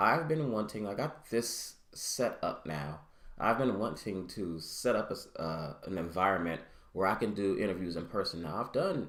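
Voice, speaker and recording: Mumbling at a moderate pace, a man with a fairly low pitch uses lively intonation amid audible room echo. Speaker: podcaster and vlogger. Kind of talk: casual solo monologue. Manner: halting.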